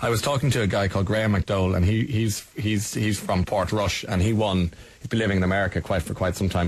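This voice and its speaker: With an Irish accent, a man speaks at a very fast pace in a somewhat breathy, fairly low voice with ordinary pitch variation. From Ireland. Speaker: radio host. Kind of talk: radio interview.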